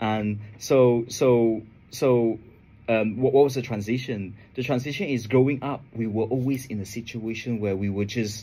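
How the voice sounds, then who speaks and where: A man's medium-pitched voice with a dark, mellow tone, fairly even intonation and a moderate pace, on a very clean recording with a silent background. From Asia. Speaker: trading educator. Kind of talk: radio interview. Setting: radio studio. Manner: halting, many repetitions.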